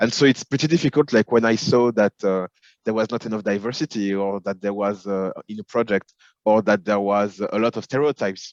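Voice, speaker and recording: A man with a French accent, fairly low in pitch, with ordinary pitch variation, a fairly quick pace, and a dry, close sound without echo. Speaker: film and television executive. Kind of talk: interview. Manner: hesitant, many fillers.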